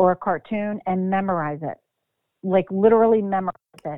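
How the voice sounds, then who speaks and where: With an American accent, a woman talks with ordinary pitch variation in an unremarkable speaking voice. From Philadelphia, Pennsylvania. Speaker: actress.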